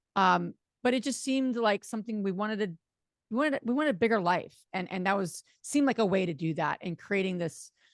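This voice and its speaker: Rattling along at a very fast pace, a woman with a slight New Jersey accent and a medium pitch uses lively intonation in a dry, close sound with no echo. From New Jersey, US. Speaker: real estate investor. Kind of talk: podcast interview.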